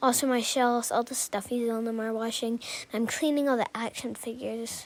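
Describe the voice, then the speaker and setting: A woman's high-pitched voice at a moderate pace, with fairly even intonation and noticeable background noise. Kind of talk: casual narrated house tour.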